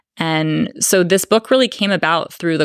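A woman speaks in a normal speaking voice at a moderate pace. The sound is dry and close, with no echo. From Northern California. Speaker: political science professor and author. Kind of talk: book talk with audience. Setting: bookstore event with live audience.

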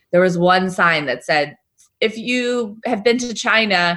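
Here is an ordinary speaking voice from a woman with an American accent. She keeps a moderate pace and a lively intonation. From New York State, US. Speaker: travel journalist. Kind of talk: interview.

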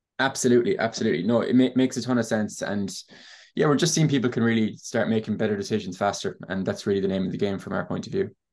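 Against a quiet background, a man with an Irish accent talks at a very fast pace, his medium-pitched voice carrying lively intonation. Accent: Irish (Clare). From Ireland, Ennis, County Clare. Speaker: software startup co-founder. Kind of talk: podcast interview.

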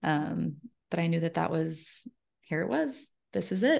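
The woman speaks with vocal fry. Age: 30s. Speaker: author and speaker. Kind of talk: interview.

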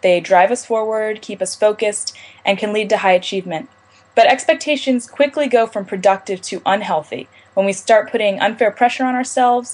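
A woman speaks at a fairly quick pace with a fairly high pitch and ordinary pitch variation. She has an unremarkable speaking voice. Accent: American. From Maryland, US. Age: 20s. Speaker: college student, mental health advocate. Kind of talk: interview.

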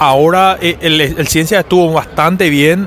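Fairly even intonation runs through a man's speech. Behind him, background noise is noticeable. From Paraguay. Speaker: rugby player. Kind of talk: interview. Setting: at a stadium.

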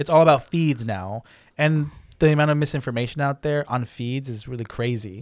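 A man with an unremarkable speaking voice and medium pitch talks at a fairly quick pace with ordinary pitch variation, in a very clean recording with a silent background. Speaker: podcast host. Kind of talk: casual chat.

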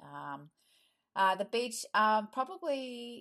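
Her tone bright and sharp, a woman speaks with very wide pitch swings. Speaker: school parent. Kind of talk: podcast interview.

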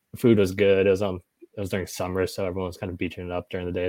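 A dark, mellow tone comes through on a very clean recording with a silent background. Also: man. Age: 30s. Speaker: tech startup executive. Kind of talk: casual interview.

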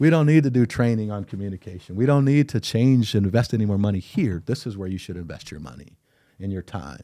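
A man's fairly low, dark, mellow voice in a Midwestern American accent, very fast, with big swings in loudness. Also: lively intonation. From Iowa, Cedar Rapids. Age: 50s. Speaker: diversity consultant. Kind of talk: casual interview.

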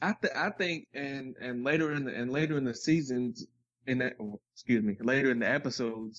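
A man speaks in an ordinary speaking voice at a medium pitch. His pace is fairly quick, with ordinary pitch variation. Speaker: podcast guest co-host. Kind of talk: casual chat.

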